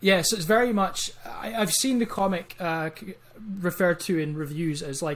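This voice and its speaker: Over noticeable background noise, a man with an Edinburgh accent talks at a moderate pace in a high pitch with ordinary pitch variation. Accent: Scottish (Edinburgh). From Scotland, Edinburgh. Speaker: comic book writer. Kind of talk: interview.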